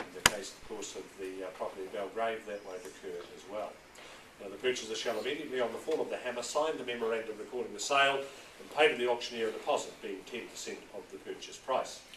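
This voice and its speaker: A man at a very fast pace, with big swings in loudness and noticeable background noise. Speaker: auctioneer. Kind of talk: property auction address. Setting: auction room.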